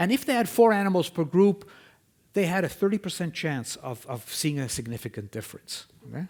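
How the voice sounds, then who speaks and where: A man with a non-native accent speaks at a fairly quick pace, his pitch swinging very widely. The recording is very clean, with a silent background. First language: not English. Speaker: scientist presenting research. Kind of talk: conference lecture. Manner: conversational, frequent 'okay?' checks.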